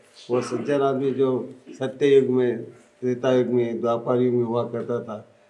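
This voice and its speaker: Audible room echo surrounds a man whose medium-pitched voice stays monotone and flat. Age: 80s+. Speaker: spiritual leader. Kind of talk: interview.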